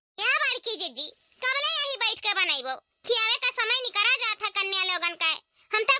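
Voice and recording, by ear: A woman performs a cartoonish character voice. The sound is dry and close with no echo.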